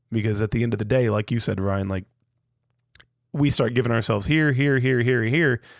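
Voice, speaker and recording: A man at a medium pitch and fairly quick pace, with ordinary pitch variation and long, frequent pauses, in a very clean recording with a silent background. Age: 30s. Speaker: podcast host, father. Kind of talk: casual chat.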